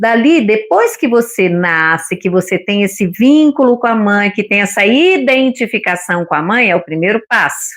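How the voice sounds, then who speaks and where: A woman at a moderate pace, with lively intonation, very even loudness and hardly any pauses. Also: fairly high pitch for a woman, quiet background. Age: 60s. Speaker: retired psychology-minded co-host. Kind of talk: casual book discussion live stream.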